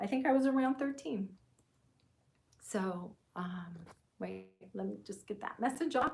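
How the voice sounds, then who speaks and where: Somewhat breathy and medium-pitched, a woman speaks at a fairly slow pace with lively intonation and long, frequent pauses. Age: 60s. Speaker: craft YouTuber. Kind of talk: casual live-stream chat. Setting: sewing room, webcam live stream. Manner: chatty, many fillers and hesitations.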